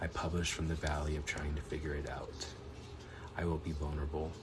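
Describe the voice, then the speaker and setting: With noticeable background noise behind him, a man talks at a moderate pace in a very deep, low pitch with monotone, flat intonation. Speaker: poet. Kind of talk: poetry reading.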